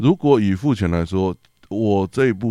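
A man with a normal speaking voice, fairly low pitch, lively intonation, moderate pace, very clean recording with a silent background. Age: 30s. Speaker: drummer and drum teacher. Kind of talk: casual chat.

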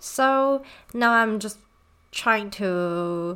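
In a Chinese accent, a bright, sharp voice with lively intonation comes through on a very clean recording with a silent background. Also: woman. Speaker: podcast host. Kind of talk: casual monologue. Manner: halting, many fillers.

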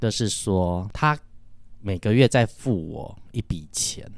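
A man speaks in a plain, everyday voice at a fairly low pitch with ordinary pitch variation. The recording is very clean, with a silent background. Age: 40s. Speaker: music teacher. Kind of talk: casual chat.

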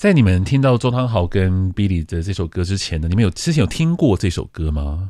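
Over a very clean recording with a silent background, a man with a very deep, low pitch and a dark, mellow tone speaks at a fairly quick pace, his intonation lively and hardly any pauses between words. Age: 40s. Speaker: radio host. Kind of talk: casual chat. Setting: studio.

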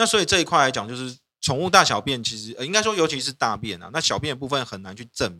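This man's fairly high voice has a bright, sharp tone, with very wide pitch swings and big swings in loudness. He talks very fast with hardly any pauses, and the recording is very clean with a silent background. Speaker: lawyer podcast host. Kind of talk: casual chat.

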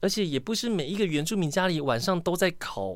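Very wide pitch swings mark this man's animated tone. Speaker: podcast host. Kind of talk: casual solo podcast monologue.

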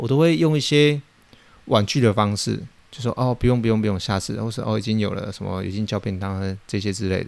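A man with a fairly low pitch speaks at a fairly quick pace. His intonation is lively. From Taiwan. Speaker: podcast host, fish farmer. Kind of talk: casual monologue, storytelling. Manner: hesitant, many fillers.

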